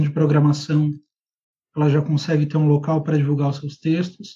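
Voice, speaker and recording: The voice has a dark, mellow tone, is somewhat breathy, and has a monotone, flat intonation. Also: man. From Brazil, Rio Grande do Sul and Ceará. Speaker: political writer and editor. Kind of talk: interview.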